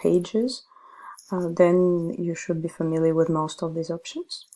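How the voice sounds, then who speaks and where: With a Russian accent, a woman talks at a fairly slow pace in a fairly low voice with a dark, mellow tone. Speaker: ESL teacher. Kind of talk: tutorial.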